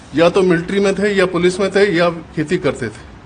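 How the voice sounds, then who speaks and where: A man talks with a high pitch and fairly even intonation. Noticeable background noise is audible behind him. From Punjab, Pakistan. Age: 80s+. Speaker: partition survivor. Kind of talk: testimony. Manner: halting.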